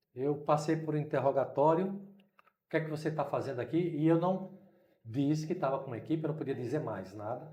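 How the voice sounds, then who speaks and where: Audible room echo surrounds a man with a fairly high pitch and a dark, mellow tone, talking at a moderate pace with ordinary pitch variation. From Brazil, Recife (Pernambuco). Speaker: missionary. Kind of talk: interview storytelling.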